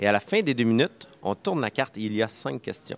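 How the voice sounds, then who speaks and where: A man speaks at a fairly quick pace with a Quebec accent. The sound is dry and close with no echo. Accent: Québécois French. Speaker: board game publisher. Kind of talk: interview. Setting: game festival. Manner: halting, many repeated words.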